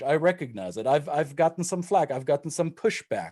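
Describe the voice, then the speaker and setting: Lively intonation marks this man's fairly high, dark and mellow voice, delivered in a German accent. The recording is very clean, with a silent background. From Germany. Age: 40s. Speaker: intercultural trainer. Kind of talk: panel discussion. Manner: halting.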